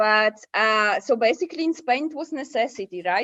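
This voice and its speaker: A woman with a Polish accent, fairly high pitch and moderate pace, against a quiet background. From Poland. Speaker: digital nomad. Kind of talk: podcast interview.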